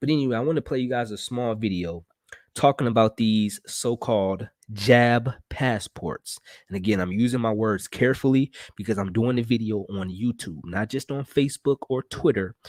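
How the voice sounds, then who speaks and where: Quiet speech at a moderate pace with ordinary pitch variation, in a very clean, dry, close recording with a silent background and no echo. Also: man. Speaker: political commentary streamer. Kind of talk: live broadcast monologue. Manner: quiet, talking low.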